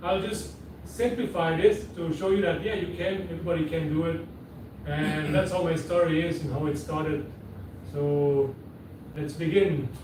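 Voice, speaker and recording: A man with a Quebec accent talks at a moderate pace and fairly high pitch, with ordinary pitch variation and long, frequent pauses. Noticeable background noise and audible room echo fill the recording. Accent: French-Canadian accent in English. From Quebec, Canada. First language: French (German at home). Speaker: seaplane pilot and business owner. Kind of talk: interview. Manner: casual.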